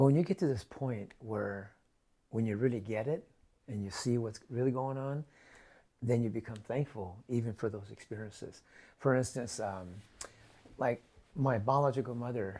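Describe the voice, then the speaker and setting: The tone is dark and mellow, with ordinary pitch variation and long, frequent pauses. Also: man. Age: 70s. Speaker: raw food mentor. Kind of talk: interview, personal life story. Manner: halting, many repeated words.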